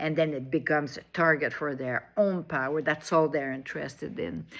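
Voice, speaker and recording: A woman speaks with a French accent at a moderate pace. Her pitch is very deep and low, with fairly even intonation. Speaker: online commentator. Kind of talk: monologue. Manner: halting.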